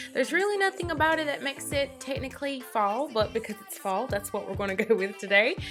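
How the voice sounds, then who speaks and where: With a Southern US accent, a woman talks at a fairly quick pace with lively intonation while music plays in the background. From North Carolina. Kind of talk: casual talk to camera.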